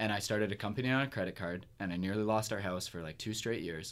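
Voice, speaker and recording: This is a man with a normal speaking voice, fairly low in pitch and fairly quick in pace. The recording is very clean, with a silent background. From Kingston, Ontario, Canada. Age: 30s. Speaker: musician. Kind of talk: casual interview chat. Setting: studio.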